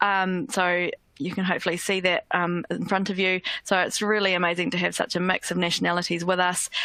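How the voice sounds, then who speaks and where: A woman with a New Zealand accent speaks at a fairly quick pace in a bright, sharp tone, her medium pitch held in fairly even intonation. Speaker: education company languages head, former French teacher. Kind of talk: webinar presentation. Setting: online webinar. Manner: hesitant with frequent fillers.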